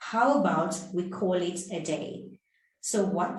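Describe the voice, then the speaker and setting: A woman's voice with audible room echo. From South Africa. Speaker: English teacher. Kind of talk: tutorial. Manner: clear and deliberate.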